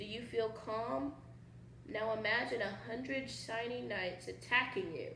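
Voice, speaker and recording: Using a squeaky, put-on character voice at a fairly high pitch, a woman speaks at a moderate pace with a slight echo. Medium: read story. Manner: timid, stammering.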